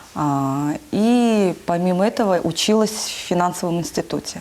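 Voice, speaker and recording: A woman with a Russian accent and fairly low pitch, at a very slow pace, over music in the background. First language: Russian (speaking Korean). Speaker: preschool teacher. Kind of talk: interview. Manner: halting.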